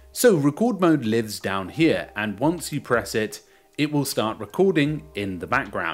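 A man speaks at a fairly slow pace while faint music plays in the background. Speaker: news presenter. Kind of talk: tutorial commentary. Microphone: studio mic.

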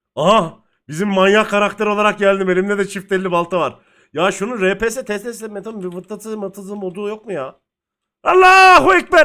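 A man projects a raised, high-pitched voice with a bright, sharp, animated tone. The recording is very clean, with a silent background. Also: ordinary pitch variation, moderate pace. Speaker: gaming streamer. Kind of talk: gameplay commentary.

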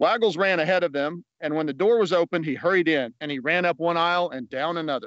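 A man with a high voice talks very fast with hardly any pauses and ordinary pitch variation, recorded dry with no echo against a quiet background. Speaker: guest reader. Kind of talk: reading aloud a children's story, bedtime story style. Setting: outdoors at an amphitheater, video. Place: open country. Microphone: phone near.

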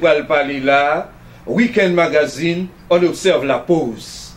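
Very slowly, a man talks in a high pitch with ordinary pitch variation. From Haiti. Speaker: TV talk show host. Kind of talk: TV interview. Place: studio.

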